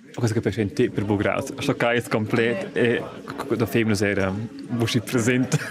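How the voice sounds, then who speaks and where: A man with a medium pitch talks at a moderate pace, with ordinary pitch variation. Long, frequent pauses break up his speech over noticeable background noise. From Switzerland, Graubünden (Lumbrein). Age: 30s. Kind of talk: personal testimony interview.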